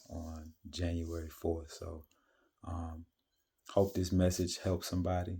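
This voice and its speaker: A man speaks quietly in a very deep, low pitch with monotone, flat intonation. His voice is somewhat breathy. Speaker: vlogger sharing fasting and faith reflections. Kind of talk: casual monologue vlog. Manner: quiet, kept low; hesitant with many fillers.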